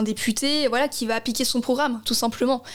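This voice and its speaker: A woman talks at a moderate pace with a fairly high pitch. Background noise is noticeable throughout. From Alsace, Strasbourg. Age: 20s. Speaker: election candidate. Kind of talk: political interview.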